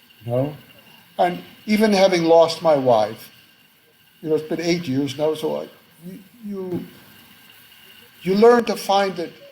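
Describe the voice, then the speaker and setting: A man with an American accent and a high pitch at a fairly slow pace, long, frequent pauses and big swings in loudness, over noticeable background noise. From United States. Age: 70s. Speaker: author and academic. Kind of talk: interview conversation. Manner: halting, many fillers and restarts.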